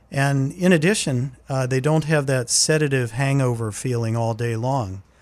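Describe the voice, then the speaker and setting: In a normal speaking voice, a man with an American accent talks at a medium pitch and moderate pace with ordinary pitch variation. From southwestern Pennsylvania, Laurel Highlands. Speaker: gastroenterologist. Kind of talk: radio interview.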